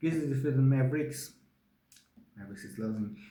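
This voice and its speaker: A medium-pitched male voice with audible room echo. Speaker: sports show host. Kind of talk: solo sports review monologue. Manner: halting, many fillers.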